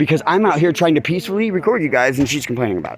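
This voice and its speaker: Delivered at a very fast pace, the speech has lively intonation and an animated tone over noticeable background noise. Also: man. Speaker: citizen journalist filming police. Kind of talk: heated argument with police. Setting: outdoors at night on a porch. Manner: loud.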